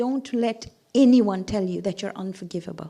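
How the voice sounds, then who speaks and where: Her intonation lively, a woman talks at a fairly slow pace in a very clean recording with a silent background. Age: 60s. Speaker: religious speaker (zakira). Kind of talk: sermon.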